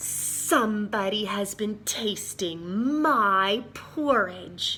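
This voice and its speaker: A female-sounding voice growls in a put-on character voice at medium pitch, speaking very slowly. Background noise is clearly present. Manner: growling, accusing.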